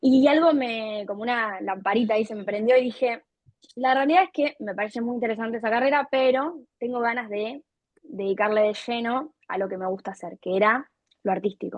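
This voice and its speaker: With an unremarkable speaking voice, a woman talks at a fairly quick pace and a fairly high pitch. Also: ordinary pitch variation. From Argentina, Buenos Aires province. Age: 20s. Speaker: content creator and artist. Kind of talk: interview.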